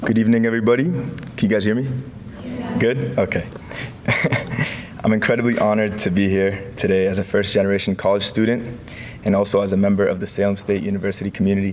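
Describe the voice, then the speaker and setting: Over noticeable background noise and audible room echo, a man speaks at a fairly low pitch with fairly even intonation. He talks at a very fast pace but with long, frequent pauses. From US, moved from Morocco as a child. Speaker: graduating student. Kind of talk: ceremony speech. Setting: podium with microphone, live audience.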